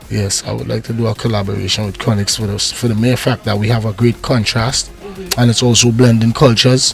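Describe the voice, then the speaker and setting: Through noticeable background noise, a man talks at a fairly quick pace with a medium pitch and monotone, flat intonation. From Trinidad and Tobago. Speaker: reggae artist; navy veteran. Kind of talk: interview answer.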